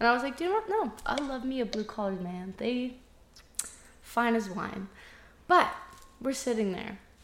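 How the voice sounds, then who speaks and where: A woman with a high pitch speaks at a moderate pace with lively intonation. Long, frequent pauses break up her speech, and background noise is noticeable. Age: 20s. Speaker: podcast co-host. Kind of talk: casual chat.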